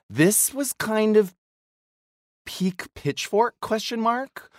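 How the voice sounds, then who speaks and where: A man speaks with an American accent. The recording is very clean, dry and close, with no echo and a silent background. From US Midwest. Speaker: podcast co-host. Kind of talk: casual chat. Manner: halting, self-correcting.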